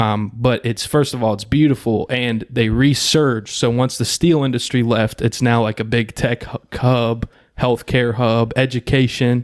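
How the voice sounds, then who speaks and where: Speaking with hardly any pauses, a man keeps a monotone, flat intonation on a very clean recording with a silent background. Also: medium pitch for a man, moderate pace. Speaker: podcast host. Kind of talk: casual chat.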